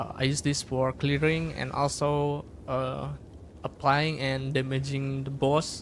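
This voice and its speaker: The speaker has a non-native accent and talks at a fairly slow pace in a monotone, flat delivery. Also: man, fairly high pitch for a man. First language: not English. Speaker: gaming content creator. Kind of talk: tutorial. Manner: halting, many fillers.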